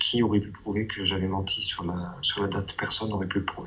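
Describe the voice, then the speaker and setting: Noticeable background noise behind a fairly low male voice. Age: 30s. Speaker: abuse survivor giving testimony. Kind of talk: testimony. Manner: halting.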